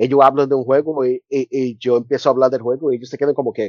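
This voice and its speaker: Very fast male speech, its intonation fairly even. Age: 40s. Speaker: university professor. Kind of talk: casual interview. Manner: halting.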